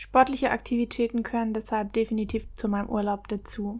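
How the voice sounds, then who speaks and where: A woman's ordinary speaking voice with fairly even intonation. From Baden-Württemberg, Germany. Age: 20s. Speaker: travel podcaster. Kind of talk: solo podcast monologue.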